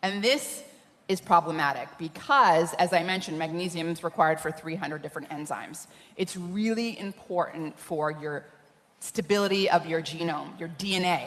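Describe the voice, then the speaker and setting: A woman talks in a normal speaking voice, pitched fairly low, at a moderate pace. Her pitch variation is ordinary. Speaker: scientist speaking on nutrition. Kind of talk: conference talk.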